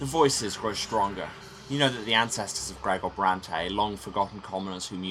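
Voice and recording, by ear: The voice is reading aloud in a natural voice.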